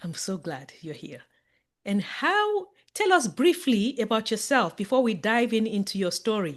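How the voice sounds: A woman speaks at a fairly slow pace with big pitch swings. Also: medium pitch for a woman, very clean recording, silent background.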